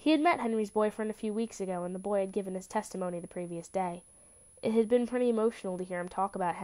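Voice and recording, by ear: This is a recording of reading aloud. The voice is natural.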